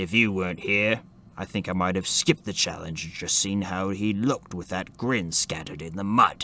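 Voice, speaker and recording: A man puts on a raspy character voice at a moderate pace. His pitch is fairly low with ordinary variation, and background noise is clearly audible. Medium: read story. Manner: dry, wry understatement.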